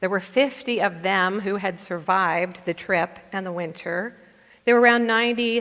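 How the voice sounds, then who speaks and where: This woman has an ordinary speaking voice, a medium pitch and ordinary pitch variation. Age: 60s. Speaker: pastor. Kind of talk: sermon.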